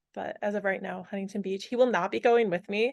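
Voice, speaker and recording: This woman speaks with an American accent at a medium pitch. Her pace is fairly quick, and the background is quiet. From Michigan, Berrien Springs. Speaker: volleyball player. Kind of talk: casual interview chat.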